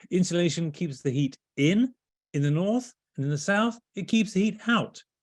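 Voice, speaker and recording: A man with a British accent speaks at a moderate pace in a high pitch with lively intonation. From Britain. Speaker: home energy speaker, author. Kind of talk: webinar presentation.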